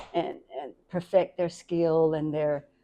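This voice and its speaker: A woman speaks at a very slow pace. Her voice is fairly low. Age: 60s. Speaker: community elder of a rap cypher organization. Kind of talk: interview.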